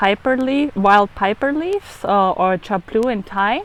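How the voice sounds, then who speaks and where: With a German accent and hardly any pauses, a woman talks at a fairly high pitch with ordinary pitch variation against noticeable background noise. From Germany. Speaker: food photographer and raw food chef. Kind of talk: cooking demonstration. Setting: outdoors on a beach.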